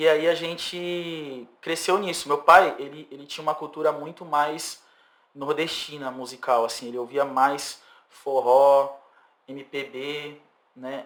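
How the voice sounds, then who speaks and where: Fairly even intonation at a very slow pace, with big swings in loudness. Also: man, fairly high pitch for a man. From São Vicente, São Paulo state, Brazil. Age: 30s. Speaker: singer-songwriter. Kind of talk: podcast interview.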